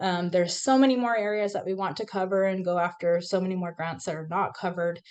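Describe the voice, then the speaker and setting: Against a quiet background, a woman speaks at a moderate pace and fairly low pitch in an unremarkable speaking voice. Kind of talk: presentation.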